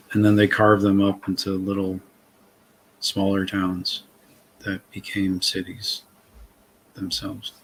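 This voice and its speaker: With a slight Massachusetts accent, a man speaks fairly slowly at a fairly low pitch in a monotone, flat way, leaving long, frequent pauses. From Massachusetts, north of Boston. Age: 40s. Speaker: author and interview guest. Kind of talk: casual chat.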